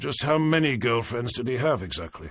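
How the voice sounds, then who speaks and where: Putting on a raspy character voice at a medium pitch, a man talks at a fairly quick pace. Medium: read story. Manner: clipped, dry.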